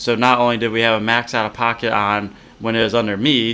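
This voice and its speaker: This man has a normal speaking voice pitched in the medium range. He keeps a moderate pace, and his intonation is fairly even. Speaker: podcast co-host. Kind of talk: casual chat, frustrated commentary. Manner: agreeing, more subdued, sighing.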